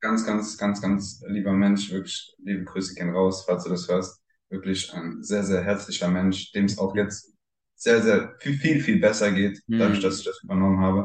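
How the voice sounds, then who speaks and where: An unremarkable speaking voice belongs to this man, pitched fairly low. He keeps a moderate pace and fairly even intonation. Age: 20s. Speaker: swinger club owner. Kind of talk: interview.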